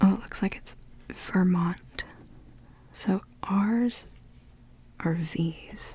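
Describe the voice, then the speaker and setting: A soft-spoken voice moves at a very slow pace, broken by long, frequent pauses. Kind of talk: ASMR soft-spoken puzzle solving.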